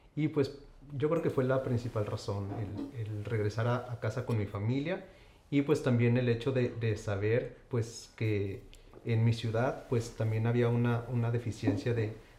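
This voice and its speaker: A man with a medium-pitched, somewhat breathy voice and a dark, mellow tone talks at a moderate pace with ordinary pitch variation. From Saltillo, Coahuila, Mexico. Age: young. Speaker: endocrinologist. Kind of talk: interview.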